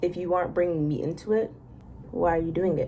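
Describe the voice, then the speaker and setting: A woman with an American accent sounds somewhat breathy, her dark, mellow tone set at a fairly low pitch. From Massachusetts. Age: young. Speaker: architecture student. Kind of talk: casual talk to camera. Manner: chatty, rambling.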